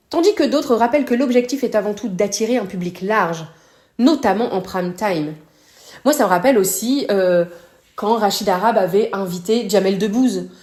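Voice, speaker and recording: Using lively intonation, a woman with a medium pitch speaks at a moderate pace. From northern France. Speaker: podcast host. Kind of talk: podcast commentary. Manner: casual, hesitant fillers.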